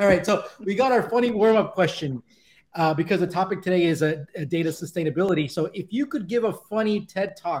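With lively intonation and a fairly quick pace, this man talks in a high voice. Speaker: podcast co-host. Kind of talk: casual chat. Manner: animated.

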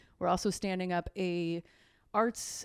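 With a Midwestern American accent, a woman talks with fairly even intonation. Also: dry, close sound with no echo, very clean recording, silent background. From southwest Michigan. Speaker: regional economic development executive. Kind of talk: interview.

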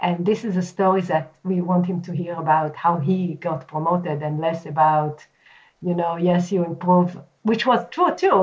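Speaking at a fairly slow pace, a woman keeps her intonation fairly even. Her fairly low voice is somewhat breathy. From Israel. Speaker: marketing executive. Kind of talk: interview.

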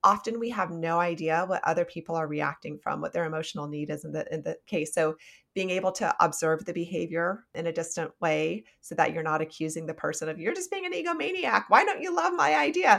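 A US Midwestern accent at a fairly quick pace. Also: woman. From Nebraska, US Midwest. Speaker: psychologist and author. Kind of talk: interview conversation.

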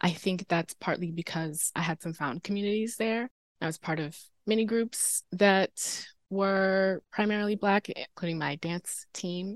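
Using a normal speaking voice, a woman with an American accent talks at a fairly slow pace and a medium pitch, with ordinary pitch variation. The sound is dry and close with no echo, against a quiet background. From North Carolina, Durham. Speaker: advertising producer, former student intervenor. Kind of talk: podcast interview.

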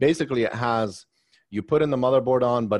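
Against a quiet background, a man with an American accent and a plain, everyday voice speaks at a fairly quick pace with ordinary pitch variation. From Maryland, US. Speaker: tech company founder. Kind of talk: interview.

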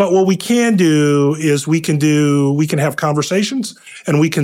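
A man's fairly high-pitched, plain, everyday voice with ordinary pitch variation. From Ohio, US Midwest. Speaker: affordable housing investment executive. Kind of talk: interview conversation.

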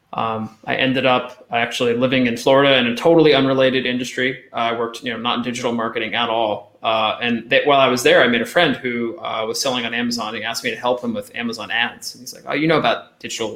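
Over noticeable background noise, a man with an American accent talks very fast in a monotone, flat intonation with hardly any pauses. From Eastern Pennsylvania, Allentown/Bethlehem area. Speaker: Amazon advertising agency founder. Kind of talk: podcast interview.

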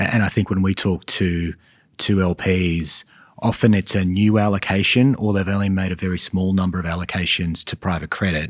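A man with an Australian accent speaks at a fairly quick pace in a very deep, low voice. His intonation stays fairly even, and the recording is very clean with a silent background. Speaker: private credit investment executive.

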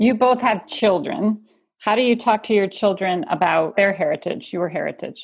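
A woman with a fairly high pitch speaks in a plain, everyday voice. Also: ordinary pitch variation, moderate pace. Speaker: company executive acting as interviewer. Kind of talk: interview questions.

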